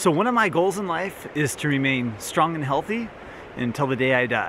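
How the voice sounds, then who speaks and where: A man's voice at a moderate pace, dry sound with no echo, noticeable background noise. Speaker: wellness vlogger. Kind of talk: casual vlog chat. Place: open country. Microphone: camera far.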